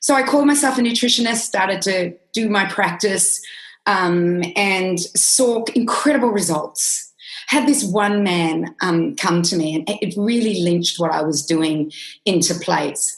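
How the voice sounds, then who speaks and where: Speaking with an Australian accent, a woman uses a medium pitch and lively intonation, her somewhat breathy voice moving at a fairly slow pace. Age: 50s. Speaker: nutritionist. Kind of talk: interview.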